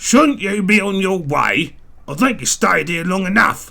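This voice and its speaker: A man performs a gruff, put-on character voice pitched high. His intonation is lively and his pace moderate. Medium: read story. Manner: grumbling, gruff.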